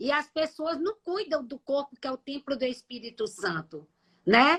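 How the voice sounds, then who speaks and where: A woman with a high pitch speaks at a fairly slow pace with lively intonation, the sound dry and close with no echo. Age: 60s. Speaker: nutritionist. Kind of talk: live stream health talk. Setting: live stream.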